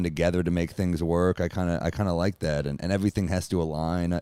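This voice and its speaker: A man with a New York accent races along at a very fast pace in a very deep, low pitch. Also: very clean recording, silent background. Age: 30s. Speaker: stand-up comedian. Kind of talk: casual chat. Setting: in person at the host's home.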